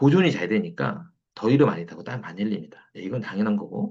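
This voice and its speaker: A man's voice, creaky with vocal fry, swings very widely in pitch as he talks at a moderate speed. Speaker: traditional Korean medicine lecturer. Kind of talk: online lecture. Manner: repetitive, filler-heavy.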